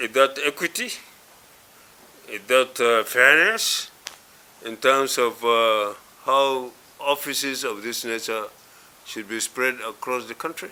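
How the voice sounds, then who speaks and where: Over noticeable background noise, a man speaks at medium pitch with fairly even intonation and big swings in loudness. His pace is very slow, with long, frequent pauses. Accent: northern Nigerian. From northwest Nigeria. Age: 80s+. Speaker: elder statesman. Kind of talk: interview. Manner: halting, many fillers.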